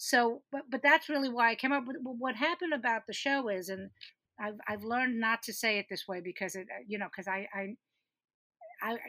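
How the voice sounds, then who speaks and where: A woman speaks fairly quickly with a bright, sharp tone. Her pitch is fairly high, with ordinary variation. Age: 60s. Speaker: comedian and producer. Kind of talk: casual chat.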